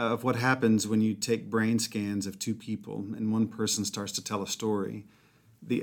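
He has an unremarkable speaking voice, fairly low in pitch, at a moderate pace. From US South, Mobile, Alabama. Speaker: leadership author and speaker. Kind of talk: casual interview. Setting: studio.

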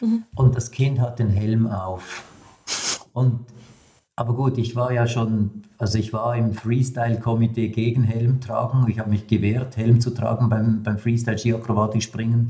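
With a Swiss German accent, this somewhat breathy voice has a dark, mellow tone and moves at a moderate pace in a flat, monotone delivery. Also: man, medium pitch for a man. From eastern Switzerland, rural. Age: 60s. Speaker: communication trainer and speaker. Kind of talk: interview.

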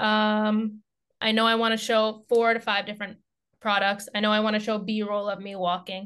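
In an American accent, a woman talks at a fairly slow pace and a fairly high pitch with monotone, flat intonation over a quiet background. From United States. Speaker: content marketer. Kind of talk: podcast interview.

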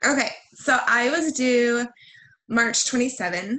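A woman speaks with an American accent. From Washington State, US Pacific Northwest. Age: 20s. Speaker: new mother telling birth story. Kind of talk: casual interview, birth story.

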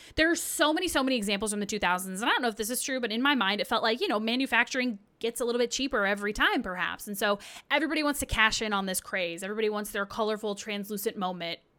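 In an animated tone, a woman with a fairly high pitch speaks very fast with hardly any pauses and ordinary pitch variation. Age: 30s. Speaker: podcast host and retro game streamer. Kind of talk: solo podcast monologue.

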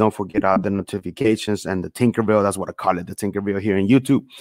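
Very fast and fairly even in intonation, a man's fairly low voice comes through dry and close with no echo, on a very clean recording with a silent background. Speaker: podcast host. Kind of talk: casual interview chat.

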